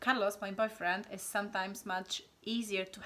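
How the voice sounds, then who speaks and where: The speaker talks at a moderate pace in a Polish accent. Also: woman. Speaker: channel host. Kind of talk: casual chat. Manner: animated.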